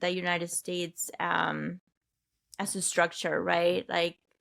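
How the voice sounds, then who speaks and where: A woman with a Spanish accent speaks very slowly in a bright, sharp tone. The recording is very clean, with a silent background. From Peru. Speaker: health and wellness coach. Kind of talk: podcast interview.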